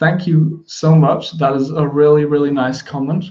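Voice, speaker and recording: A man with a German accent speaks at a moderate pace in a fairly high pitch, his tone dark and mellow and his intonation monotone and flat. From Germany, Kassel area. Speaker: music producer. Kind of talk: live stream Q&A. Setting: live stream from home. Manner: mumbles a lot.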